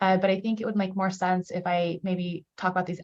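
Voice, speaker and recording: A woman's voice at a medium pitch. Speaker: state government official. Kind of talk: public presentation. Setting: video call. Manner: fast.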